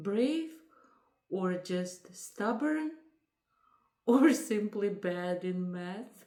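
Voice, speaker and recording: A woman speaks at a very slow pace with a medium pitch. Her tone is dark and mellow, and she has a non-native accent. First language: not English. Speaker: lifestyle vlogger. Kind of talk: casual chat.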